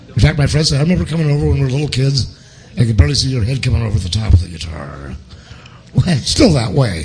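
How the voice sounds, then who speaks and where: Over noticeable background noise and audible room echo, the speaker talks at a very fast pace with an American accent and very wide pitch swings. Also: man, medium pitch for a man. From Portland, Oregon. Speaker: guitarist. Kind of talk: interview. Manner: animated.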